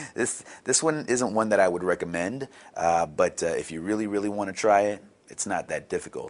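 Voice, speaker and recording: A man's fairly low-pitched voice at a moderate speed, an ordinary speaking voice. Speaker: bartending instructor. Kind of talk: tutorial. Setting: bartending school.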